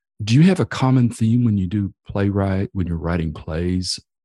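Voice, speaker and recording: With a Texan accent, a man speaks at a moderate pace with lively intonation in a fairly low, dark and mellow voice. The sound is dry and close with no echo, over a quiet background. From Texas, Amarillo area. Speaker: podcast host. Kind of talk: casual chat.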